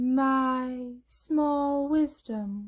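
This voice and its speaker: A female-sounding voice goes high in pitch. It is a put-on character voice. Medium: read story. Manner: calm, terse.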